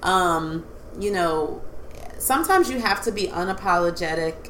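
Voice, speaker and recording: The woman talks at a moderate pace. Noticeable background noise and audible room echo surround her voice. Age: 30s. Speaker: podcast host, licensed counselor. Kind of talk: casual chat.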